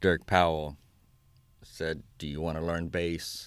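In a very clean recording with a silent background, a man with a south Louisiana accent talks very slowly in a very deep, low voice with fairly even intonation. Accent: south Louisiana Cajun English. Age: 30s. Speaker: Cajun fiddler. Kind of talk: interview. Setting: radio studio.

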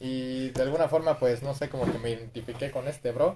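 A man's ordinary speaking voice at medium pitch and a moderate pace. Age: 20s. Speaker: tattoo artist. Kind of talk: casual chat.

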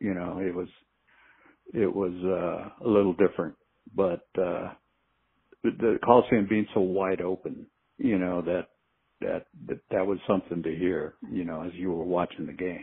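A man with an American accent speaks in a very deep, low voice with a relaxed tone. His intonation is fairly even, and he leaves long, frequent pauses. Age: 70s. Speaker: football coach. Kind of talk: casual interview conversation. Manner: slow, relaxed, rambling with filler words.

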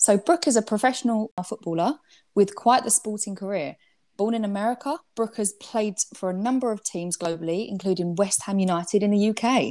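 The voice has a dark, mellow tone and ordinary pitch variation. It comes with an English accent. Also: woman, medium pitch for a woman, fairly quick pace. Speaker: podcast host. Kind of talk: casual interview.

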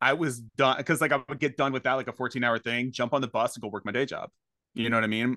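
A man's bright, sharp voice at a very fast pace, dry and close with no echo, against a quiet background. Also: medium pitch for a man. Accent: American. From US Northeast, Maine. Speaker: actor. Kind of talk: casual chat. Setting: video call. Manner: animated.

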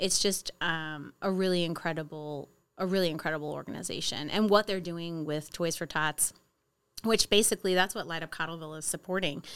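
A plain, everyday voice from a woman, fairly low in pitch, with fairly even intonation and a fairly quick pace, in a very clean recording with a silent background. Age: 40s. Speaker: event organizer. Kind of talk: casual chat. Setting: studio.

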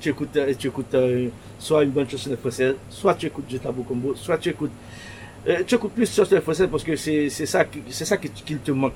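A man with fairly high pitch and ordinary pitch variation talks at a fairly quick pace, with long, frequent pauses. Noticeable background noise runs beneath him. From Haiti, Pétionville. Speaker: shop owner. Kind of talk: interview. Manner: halting.

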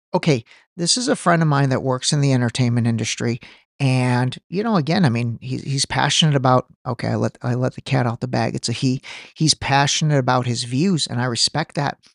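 At a fairly quick pace, a man speaks with medium pitch and ordinary pitch variation, the sound dry and close with no echo. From US (born in Iran, grew up in US). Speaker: podcast host. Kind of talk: casual solo commentary. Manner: halting, repeats words.

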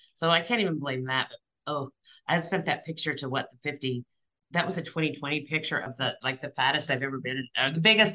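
The speaker has an American accent and a bright, sharp tone. The pace is fairly quick. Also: woman. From Missouri. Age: 60s. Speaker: real estate agent. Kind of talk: casual chat. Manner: blunt.

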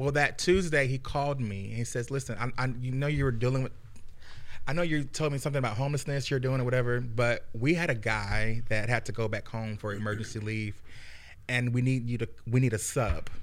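Fairly quick speech from a man, medium in pitch with ordinary variation, in audible room echo. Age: 30s. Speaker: social services director and singer. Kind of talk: casual chat.

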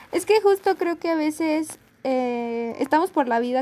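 A woman's high-pitched voice with lively intonation, dry and close with no echo, over noticeable background noise. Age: young. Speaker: podcast co-host. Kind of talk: casual chat.

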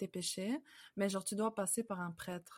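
A somewhat breathy woman speaks at a moderate pace with medium pitch and fairly even intonation. The recording is very clean, with a silent background. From Canada (moved from France at about 5). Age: 20s. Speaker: convert sharing her story. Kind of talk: testimony. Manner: halting, many fillers.

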